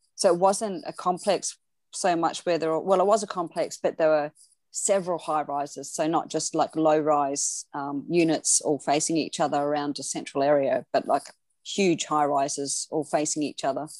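A woman with an Australian accent speaks at a moderate pace in a very deep, low voice with ordinary pitch variation. The recording is very clean with a silent background and a dry, close sound with no echo. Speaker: dog separation anxiety trainer, podcast co-host. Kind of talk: casual chat.

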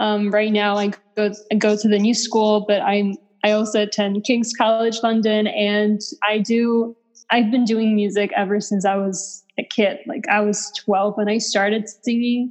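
A woman talks at a fairly slow pace. Her fairly high voice stays monotone and flat. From Poland. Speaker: singer-songwriter. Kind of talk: casual interview chat. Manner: halting, many fillers and repetitions.

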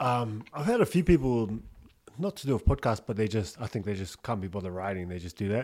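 Very clean and silent in the background, this recording has a man speaking at a very fast pace. He has a New Zealand accent and a fairly low pitch. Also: lively intonation. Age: 30s. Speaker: podcast host. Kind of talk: casual chat. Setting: studio.

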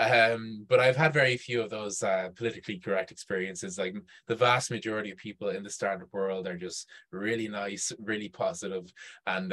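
A man speaks at a fairly quick pace in a fairly low voice. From Ireland, Dublin. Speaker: startup event organizer. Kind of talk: casual chat. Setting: video call.

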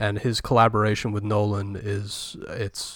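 Fairly low male voice, very clean recording, background completely silent. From Britain. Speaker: film podcast co-host. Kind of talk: casual chat.

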